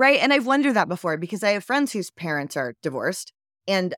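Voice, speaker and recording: A woman with an American accent talks at a very fast pace and medium pitch, using vocal fry and very wide pitch swings. The sound is dry and close with no echo, in a very clean recording with a silent background. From US South, Georgia. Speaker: recovering addict. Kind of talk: testimony.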